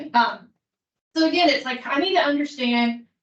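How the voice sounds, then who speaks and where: A woman talks with a Kentucky accent at a fairly quick pace. Her intonation is lively. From Kentucky, Appalachia. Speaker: student affairs administrator. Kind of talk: conference presentation.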